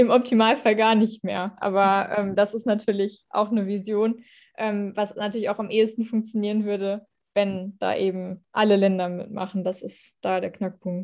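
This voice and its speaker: Against a quiet background, a woman speaks at medium pitch with monotone, flat intonation. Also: moderate pace. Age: 20s. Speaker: politician. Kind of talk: interview. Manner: hesitant, many fillers.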